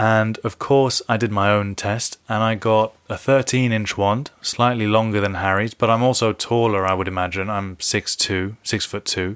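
The speaker is a man with a London accent. He goes at a moderate pace. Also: fairly even intonation, hardly any pauses. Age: 30s. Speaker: podcast host. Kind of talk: casual solo podcast commentary.

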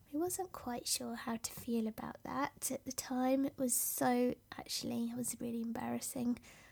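A soft-spoken woman with a British accent. She speaks with hardly any pauses. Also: moderate pace. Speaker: podcast host and business coach. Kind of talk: solo podcast monologue, personal story. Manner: softly spoken, reflective.

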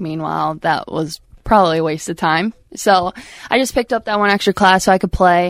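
Speaking with an American accent, a woman with a fairly low pitch and an unremarkable speaking voice moves at a fairly quick pace with ordinary pitch variation in a dry, close sound with no echo. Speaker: former college softball pitcher. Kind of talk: casual chat. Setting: studio.

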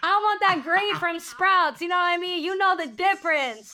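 An extremely high-pitched woman's raised, projected voice, bright and sharp in tone, at a moderate pace with ordinary pitch variation. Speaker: prayer night host. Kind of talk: fervent group prayer. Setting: live video stream. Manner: earnest, impassioned, pleading.

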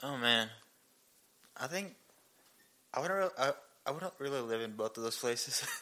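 Using a bright, sharp tone and lively intonation, a man speaks at a medium pitch and a moderate pace with long, frequent pauses. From India. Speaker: biblical counseling student. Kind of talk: casual interview chat. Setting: home living room recording.

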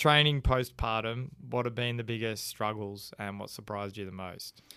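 Pitch variation stays ordinary. The voice carries an Australian accent. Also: man. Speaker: podcast host. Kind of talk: casual chat.

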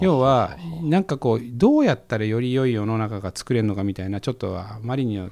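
Pitch swings very widely in a man's speech. He keeps a fairly quick pace. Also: very clean recording, silent background. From Japan, Koriyama, Fukushima. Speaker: investor and entrepreneur. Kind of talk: casual interview. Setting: studio.

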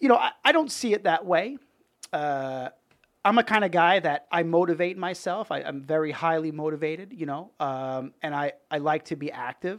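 This man has a New York accent. His pitch is high. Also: ordinary pitch variation, moderate pace. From Brooklyn and Long Island, New York. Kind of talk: casual interview chat. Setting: studio.

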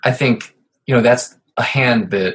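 Speaking at a moderate pace, a man with an American accent has an unremarkable speaking voice of medium pitch. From Ohio. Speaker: poker podcast host. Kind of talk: casual interview chat.

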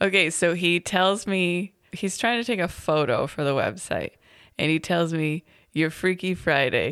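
A woman's fairly low-pitched, plain, everyday voice at a fairly slow pace, with very even loudness, ordinary pitch variation, and a very clean recording over a silent background. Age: 30s. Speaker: podcast co-host and parent. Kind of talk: casual chat.

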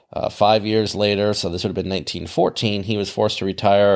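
Man with a fairly low pitch in a very clean recording with a silent background. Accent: American. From US Midwest. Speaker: podcast host, aviation podcaster. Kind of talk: scripted narration mixed with casual chat.

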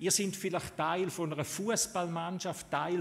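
A man speaks in an animated, upbeat tone at a fairly high pitch. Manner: animated and heartfelt, emphatic with rhetorical build-ups, upbeat and encouraging.

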